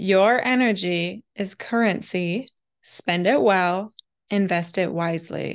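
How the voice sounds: A woman's medium-pitched voice, slow in pace, with ordinary pitch variation.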